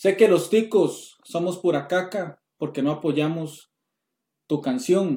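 The voice has a dark, mellow tone. It carries a Costa Rican accent. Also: man. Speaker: podcast host. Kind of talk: casual chat.

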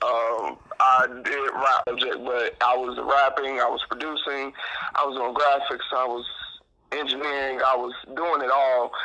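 A man's medium-pitched, flat, monotone voice at a fairly slow pace, with noticeable background noise. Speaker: DJ and entertainer. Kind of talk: casual interview chat.

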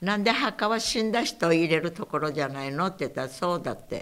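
This woman's pitch varies in an ordinary way, and her pace is moderate. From Saipan, Okinawan family. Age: 90s. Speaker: war survivor. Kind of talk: oral history interview.

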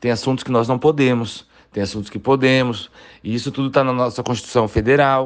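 A man with a normal speaking voice and a medium pitch talks at a moderate pace. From Brazil, Várzea Grande, Mato Grosso. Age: 30s. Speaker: city councillor. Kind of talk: interview.

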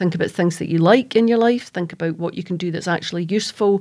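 A woman speaks at a very fast pace. Her pitch is medium and her intonation fairly even. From Scotland, East Kilbride (Lanarkshire). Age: 50s. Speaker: crime author. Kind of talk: roundtable discussion.

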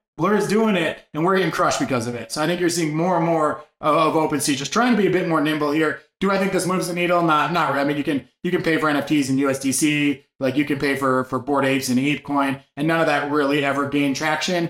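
Pitched fairly high, a man races along at a very fast pace with hardly any pauses and ordinary pitch variation. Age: 40s. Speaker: NFT market show host. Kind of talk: daily market news rundown. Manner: casual, filler-heavy delivery.

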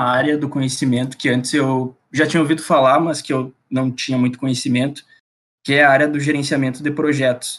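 At a moderate pace, a man of medium pitch talks with monotone, flat intonation. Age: 20s. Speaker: aerospace engineering student, student company president. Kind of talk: casual chat.

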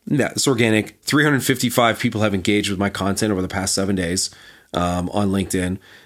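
Someone speaks at a very fast pace on a very clean recording with a silent background. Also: man, fairly low pitch for a man, ordinary pitch variation. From Canada. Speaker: marketing agency founder. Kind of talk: casual interview.

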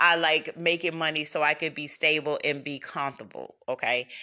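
Speaking at a moderate pace, a woman sounds animated, her very deep, low voice carrying a bright, sharp tone. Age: 40s. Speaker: podcast host and self-published author. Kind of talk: casual solo monologue. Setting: solo recording at home.

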